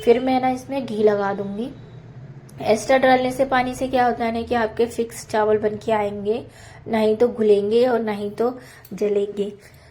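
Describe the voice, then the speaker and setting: Against noticeable background noise, a woman speaks at a fairly slow pace with a fairly high pitch and fairly even intonation. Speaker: homemaker vlogger. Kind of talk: cooking and household vlog voiceover. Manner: casual, conversational.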